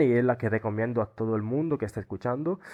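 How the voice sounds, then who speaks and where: Against a quiet background, a man with an Italian accent speaks at medium pitch with ordinary pitch variation. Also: dry, close sound with no echo. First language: Italian (speaking Spanish). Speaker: Erasmus student. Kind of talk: interview. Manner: halting.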